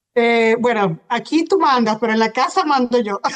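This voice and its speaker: In a Venezuelan accent, a woman with a fairly high pitch speaks at a very slow pace, her pitch varying in an ordinary way. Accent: Venezuelan Spanish, lovely. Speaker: hypnotherapist. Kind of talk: interview. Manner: hesitant, many fillers.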